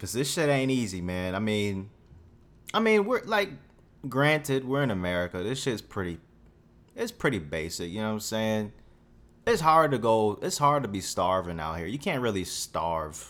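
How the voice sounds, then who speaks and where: Speaking at a moderate pace in a fairly low pitch, a man sounds animated and swings his pitch very widely, all in a very clean recording with a silent background. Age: 20s. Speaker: podcast host. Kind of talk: casual monologue rant.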